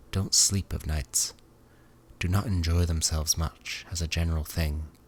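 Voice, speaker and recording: Soft-spoken and somewhat breathy, a man talks with a very deep, low pitch and fairly even intonation. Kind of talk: sleep story reading. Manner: soft-spoken, quiet, low; not whispered.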